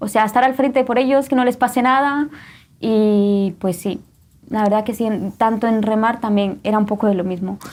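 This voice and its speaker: Here is a normal speaking voice at a moderate pace, with fairly even intonation on a very clean recording with a silent background. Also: woman, fairly high pitch for a woman. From Guatemala. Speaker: testimony guest. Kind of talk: testimony.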